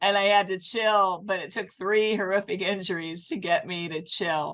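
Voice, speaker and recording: At a moderate pace and with fairly even intonation, a woman talks at a medium pitch in an ordinary speaking voice. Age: 60s. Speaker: fitness podcast host, former fitness competitor. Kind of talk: casual interview chat.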